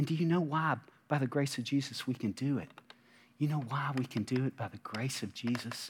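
A somewhat breathy voice at a fairly quick pace. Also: man, medium pitch for a man, ordinary pitch variation. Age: 50s. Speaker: pastor. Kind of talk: sermon.

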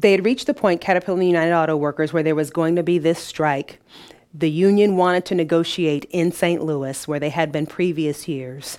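A woman's ordinary speaking voice, fairly low in pitch, at a fairly quick pace with fairly even intonation. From Detroit, US Midwest. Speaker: business owner and freelance broadcaster. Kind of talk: interview conversation.

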